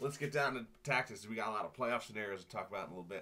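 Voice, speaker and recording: A man is speaking. His tone is bright and sharp. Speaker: fantasy football league commissioner. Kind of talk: casual video update. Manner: casual, with filler words.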